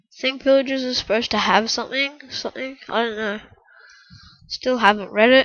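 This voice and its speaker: Her pitch high, a woman speaks at a fairly quick pace with fairly even intonation. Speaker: gamer. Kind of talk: gameplay commentary. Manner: casual, rambling.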